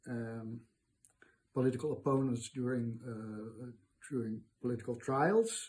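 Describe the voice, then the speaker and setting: A man's somewhat breathy, dark and mellow voice at medium pitch, monotone and flat, with a Dutch accent. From Netherlands. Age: 70s. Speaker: retired archivist interviewee. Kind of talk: interview. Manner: halting, many fillers.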